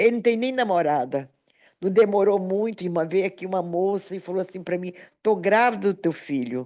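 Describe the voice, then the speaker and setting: A woman at medium pitch with an ordinary speaking voice and lively intonation, over a quiet background. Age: 60s. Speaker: pastor. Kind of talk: sermon with personal testimony.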